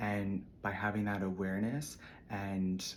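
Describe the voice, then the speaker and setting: There is audible room echo around a man whose voice sits fairly low. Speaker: spiritual content creator. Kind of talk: casual spiritual monologue.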